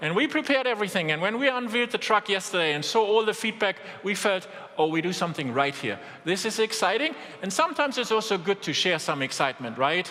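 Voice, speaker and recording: A man with a strong German accent talks in a raised, projected voice at a fairly quick pace, his intonation lively over noticeable background noise. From Germany. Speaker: business executive. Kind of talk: keynote speech.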